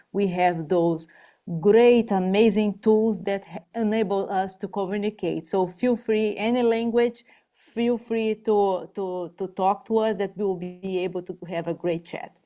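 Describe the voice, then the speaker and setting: Speaking at a fairly slow pace with a Portuguese accent, a woman has a medium pitch, a dark, mellow tone and fairly even intonation. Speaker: behavioral health navigator. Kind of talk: parent information webinar. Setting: online webinar. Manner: halting, repeats words.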